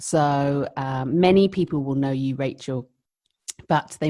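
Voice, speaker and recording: A woman with a London accent and a very deep, low pitch talks at a moderate pace with fairly even intonation and a dark, mellow tone. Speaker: midwife, podcast co-host. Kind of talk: casual chat.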